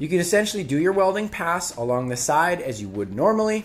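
A man talks at a fairly quick pace with big pitch swings. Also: fairly high pitch for a man.

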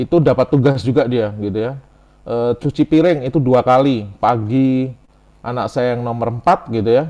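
At a moderate pace, a man speaks in a dark, mellow tone at medium pitch with ordinary pitch variation against a quiet background. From Central Java, Semarang; Central Java, Indonesia. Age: 40s. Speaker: IT lecturer and enterprise architecture expert; webinar presenter. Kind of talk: webinar lecture. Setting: video call. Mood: relaxed, conversational. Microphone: video call.

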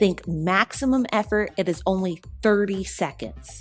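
A woman at a fairly slow pace, with ordinary pitch variation and faint music in the background. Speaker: fitness instructor. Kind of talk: tutorial. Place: studio.

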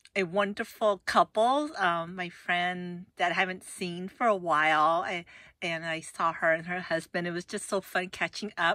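A woman's bright, sharp, medium-pitched voice at a very slow pace, with fairly even intonation, in a very clean recording with a silent background and a dry, close sound with no echo. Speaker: YouTuber reviewing products. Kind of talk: casual vlog chat. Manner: halting, filler-heavy.

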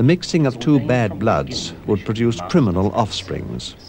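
A man's medium-pitched voice with very wide pitch swings and a moderate pace over light background noise. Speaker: documentary narrator. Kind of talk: 1970s documentary narration, scripted, measured and authoritative.

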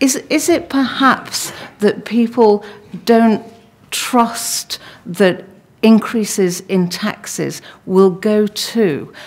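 Her intonation is lively as this woman speaks. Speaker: discussion chair. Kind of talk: moderated Q&A. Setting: stage with audience.

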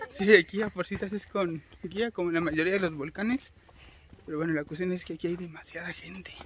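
A man talks at a fairly quick pace, his voice dry with no echo, over light background noise. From Mexico, Mexico City area; Mexico. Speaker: travel vlogger. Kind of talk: casual vlog narration. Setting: outdoors. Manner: animated. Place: forest. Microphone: phone near.

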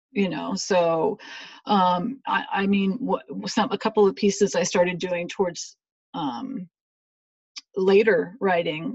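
The delivery comes at a fairly slow pace. The voice is somewhat breathy. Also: woman. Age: 50s. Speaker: mental health blogger. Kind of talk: casual chat. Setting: video call. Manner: halting.

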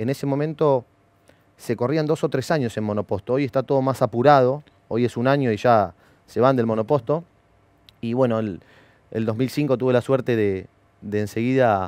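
In a Rioplatense accent, the speaker keeps a moderate pace with ordinary pitch variation and long, frequent pauses, in a dry sound with no echo. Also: man. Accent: Argentine Spanish (rioplatense). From Argentina, Bahía Blanca; Argentina. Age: 30s. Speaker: former racing driver and driver coach; driver coach. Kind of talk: interview. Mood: calm, reflective. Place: studio. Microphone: headset.

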